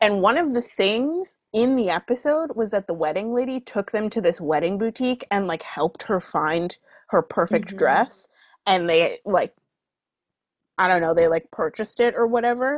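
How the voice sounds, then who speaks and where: A woman's normal speaking voice at medium pitch, moderate pace, dry and close with no echo, over a quiet background. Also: lively intonation. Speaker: podcast host. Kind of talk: casual chat.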